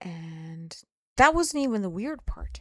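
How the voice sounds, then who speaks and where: Speech with a non-native accent, dry and close with no echo. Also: woman. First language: not English. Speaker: spiritual vlogger. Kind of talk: personal testimony. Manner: slow; halting.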